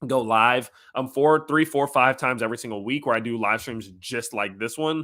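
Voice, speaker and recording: Bright and sharp in tone, a man speaks at medium pitch with fairly even intonation. The recording is very clean, with a silent background. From Louisiana, Lafayette area. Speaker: crypto YouTuber and amateur MMA fighter. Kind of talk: casual outro address to viewers; live stream Q&A. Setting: live stream. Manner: casual, filler-heavy.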